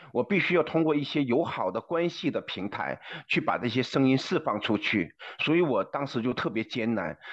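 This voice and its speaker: With lively intonation and a fairly high pitch, a man talks at a moderate pace in a normal speaking voice. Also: quiet background. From China. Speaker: former journalist. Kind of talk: interview.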